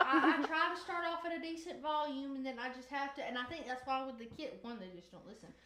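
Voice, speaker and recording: Over noticeable background noise, a woman with a high pitch speaks in a raised, projected voice at a very fast pace with hardly any pauses, ordinary pitch variation and big swings in loudness. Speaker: podcast host. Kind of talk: casual chat.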